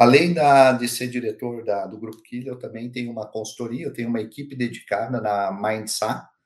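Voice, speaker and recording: An ordinary speaking voice, a man at medium pitch talks at a moderate pace with hardly any pauses, fairly even intonation and big swings in loudness. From Curitiba, southern Brazil. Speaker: HR director and speaker. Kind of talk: interview conversation.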